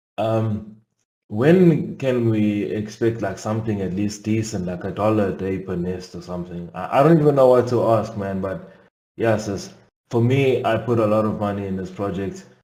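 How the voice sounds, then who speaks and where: A man's fairly low, dark, mellow voice at a moderate pace, with ordinary pitch variation and audible room echo. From South Africa. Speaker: investor asking a question. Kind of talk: live Q&A question. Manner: halting.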